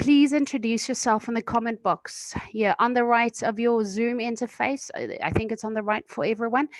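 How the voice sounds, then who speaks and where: This woman has an ordinary speaking voice, fairly high in pitch, with ordinary pitch variation at a moderate pace. The sound is dry and close, with no echo. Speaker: webinar moderator. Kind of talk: webinar introduction. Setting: video call.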